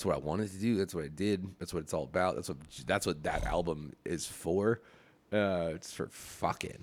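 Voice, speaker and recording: A man speaks with a very deep, low pitch and vocal fry. His pace is moderate, with ordinary pitch variation. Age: 30s. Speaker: podcast guest, musician. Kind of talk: casual chat. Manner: halting; animated.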